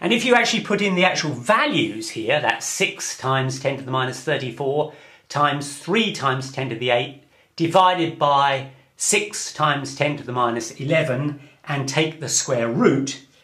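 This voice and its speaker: Recorded with audible room echo, a man speaks at a moderate pace. His voice is fairly high, bright and sharp, with ordinary pitch variation. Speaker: physics lecturer. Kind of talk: lecture.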